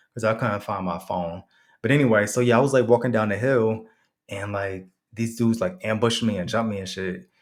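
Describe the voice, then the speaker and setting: A man with an American accent, fairly low in pitch, at a fairly quick pace on a very clean recording with a silent background. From Connecticut / New York. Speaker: storyteller vlogger. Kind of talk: casual storytelling monologue. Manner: casual, profanity-heavy, animated.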